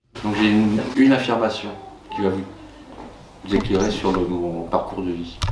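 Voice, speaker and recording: A man speaks with fairly low pitch and fairly even intonation at a moderate pace, leaving long, frequent pauses. Noticeable background noise and audible room echo surround him. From France. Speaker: schoolteacher. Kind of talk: interview. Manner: hesitant, many fillers.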